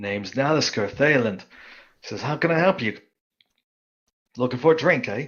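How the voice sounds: Using a raspy put-on character voice at medium pitch, a man speaks at a moderate pace with lively intonation and long, frequent pauses.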